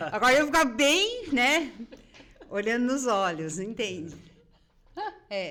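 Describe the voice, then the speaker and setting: The speaker talks at a very slow pace with long, frequent pauses and very wide pitch swings. Audible room echo and noticeable background noise surround the voice. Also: woman, high pitch for a woman. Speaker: podcast host. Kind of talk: podcast interview. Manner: soft-spoken.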